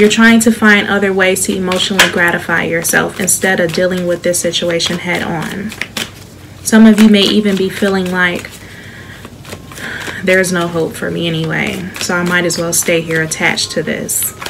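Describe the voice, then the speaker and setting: A soft-spoken voice with an American accent moves at a moderate pace. Its intonation is fairly even, with noticeable background noise. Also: woman, fairly low pitch for a woman. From Chicago. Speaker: tarot reader. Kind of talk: tarot reading to camera. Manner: soft-spoken, soothing.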